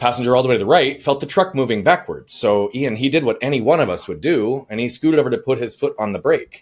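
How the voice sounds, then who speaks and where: In a very clean recording with a silent background, a man speaks at a very fast pace in an energetic tone, with lively intonation and hardly any pauses. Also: medium pitch for a man. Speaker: life coach. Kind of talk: interview storytelling.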